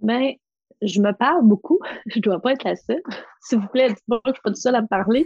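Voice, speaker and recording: With long, frequent pauses, a woman speaks in a somewhat breathy, fairly high voice with ordinary pitch variation, recorded with a dry, close sound and no echo. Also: moderate pace. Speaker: massage therapist and confidence coach. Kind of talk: casual interview.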